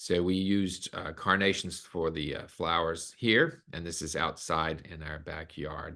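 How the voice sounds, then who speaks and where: With a quiet background behind him, a man talks in a very deep, low voice that has a bright, sharp tone and fairly even intonation. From US South, Arkansas. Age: 60s. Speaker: concert pianist and host. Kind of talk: webinar presentation.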